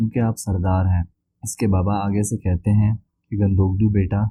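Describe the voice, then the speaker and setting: Flat and monotone, a man speaks in a fairly low pitch. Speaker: drama review narrator. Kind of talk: episode recap narration.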